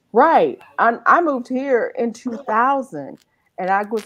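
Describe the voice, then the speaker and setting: A woman with a Southern US accent and very wide pitch swings. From Eastern North Carolina. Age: 50s. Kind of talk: casual chat.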